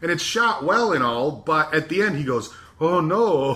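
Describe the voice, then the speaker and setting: Speaking with an American accent, a man has an unremarkable speaking voice at a fairly high pitch, with lively intonation and a moderate pace. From US Southwest (Arizona). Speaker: podcast host. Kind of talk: casual chat.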